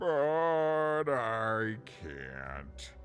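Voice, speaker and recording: A put-on character voice, low-pitched with very wide pitch swings, over clear background music. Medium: video game. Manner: chatty, self-deprecating, jokey.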